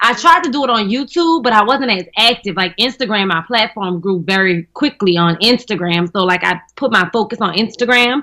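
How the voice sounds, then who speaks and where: The speaker has a strong New Orleans accent and lively intonation. Delivery is fairly quick, with hardly any pauses. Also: woman, fairly high pitch for a woman. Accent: thick New Orleans. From New Orleans, Louisiana. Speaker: comedian and actress. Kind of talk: casual chat. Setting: radio studio.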